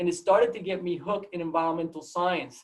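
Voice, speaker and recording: Speaking at a fairly quick pace, a man with a Puerto Rican accent has a high-pitched voice. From Puerto Rico, Mayagüez. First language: Spanish. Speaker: biology professor. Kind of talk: seminar talk. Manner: halting, many repetitions.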